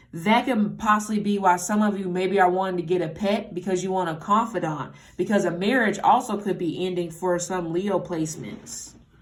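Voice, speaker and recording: Fairly even in intonation, a woman at medium pitch speaks at a moderate pace amid audible room echo. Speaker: tarot reader. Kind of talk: tarot reading monologue. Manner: casual, halting with self-corrections.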